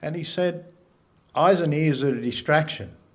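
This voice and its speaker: A man speaks at a fairly high pitch with ordinary pitch variation. Audible room echo surrounds his voice. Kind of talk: symposium talk. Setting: gallery with live audience.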